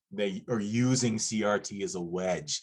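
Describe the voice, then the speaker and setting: A man's voice is booming. His pitch sits fairly low. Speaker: panel expert on critical race theory. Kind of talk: educational panel discussion.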